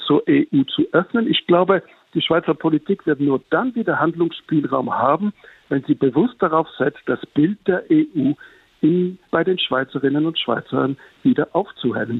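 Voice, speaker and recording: With lively intonation, a man speaks at a fairly slow pace in a high pitch. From Switzerland. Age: 60s. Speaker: journalist. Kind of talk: interview.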